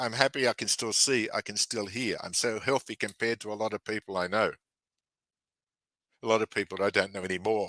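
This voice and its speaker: A man with a plain, everyday voice, fairly low in pitch and with fairly even intonation, speaks at a fairly quick pace in a very clean recording with a silent background. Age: 60s. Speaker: author and researcher. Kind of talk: conference talk; casual chat.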